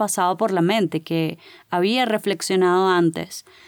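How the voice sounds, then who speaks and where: A woman at a moderate pace, recorded very cleanly against a silent background, dry and close with no echo. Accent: Caracas. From Venezuela, Caracas. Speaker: podcast host. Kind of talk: motivational monologue. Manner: animated.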